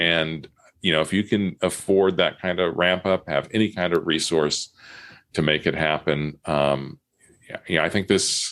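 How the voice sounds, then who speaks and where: With an American accent, a man speaks at a very deep, low pitch and a fairly slow pace, his intonation fairly even, in a very clean recording with a silent background. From California. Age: 60s. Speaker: local news publisher. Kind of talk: podcast interview. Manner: halting.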